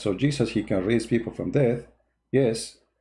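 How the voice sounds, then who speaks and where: A man's dark, mellow, somewhat breathy voice at a medium pitch and moderate pace, against a quiet background. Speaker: religious debater. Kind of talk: live-stream commentary. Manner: animated; halting.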